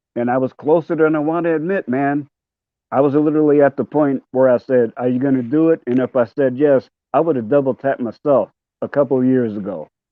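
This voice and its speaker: With an American accent, a man of fairly high pitch talks at a fairly quick pace with ordinary pitch variation. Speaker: panel guest, cancer survivor. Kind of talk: casual chat. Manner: halting, many fillers.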